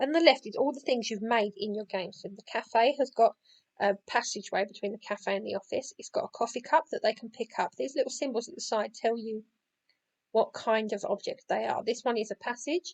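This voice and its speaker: A woman talks at a fairly quick pace with a fairly high pitch and ordinary pitch variation. Her loudness swings widely, and the sound is dry and close with no echo. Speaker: game creator making a tutorial. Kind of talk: software tutorial. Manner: fast; casual with many fillers.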